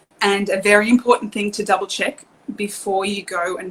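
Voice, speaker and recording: With an Australian accent, a woman speaks at a moderate pace and medium pitch. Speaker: car seat technician. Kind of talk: online presentation. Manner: hesitant, many fillers.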